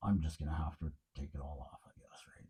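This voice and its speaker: The voice is somewhat breathy. A man delivers his words at a fairly quick pace. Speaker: DIY car mechanic. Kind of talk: garage work vlog. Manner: casual, rambling with fillers.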